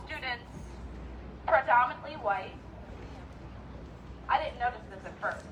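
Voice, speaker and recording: A woman's high voice sounds out against noticeable background noise. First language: not English. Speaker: teacher, rally speaker. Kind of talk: rally speech. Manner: animated.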